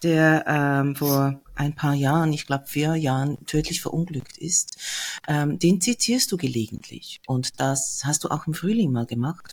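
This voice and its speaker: A woman's very deep, low voice, calm in tone and somewhat breathy. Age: 50s. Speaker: podcast host. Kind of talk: interview.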